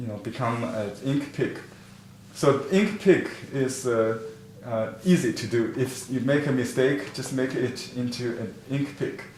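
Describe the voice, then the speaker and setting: Fairly slow speech with ordinary pitch variation, audible room echo and noticeable background noise. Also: man, medium pitch for a man. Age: 50s. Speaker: painting teacher. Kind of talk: online class lecture. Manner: halting, many fillers.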